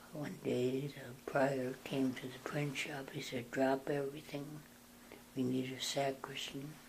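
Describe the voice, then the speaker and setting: A man with an American accent talks at a very slow pace. His voice is somewhat breathy, with monotone, flat intonation. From North Dakota, USA. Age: 80s+. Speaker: Benedictine monk. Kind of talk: interview answer.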